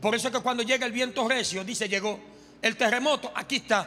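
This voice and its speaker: A man's raised, projected voice with ordinary pitch variation and faint music in the background. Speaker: preacher. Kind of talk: sermon. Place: church. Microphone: handheld.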